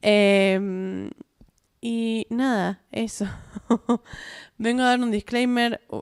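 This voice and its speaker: A woman in a Rioplatense accent speaks at a very slow pace, with long, frequent pauses. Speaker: podcast host. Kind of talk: casual solo podcast monologue. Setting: at home, self-recorded. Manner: chatty, many fillers and restarts.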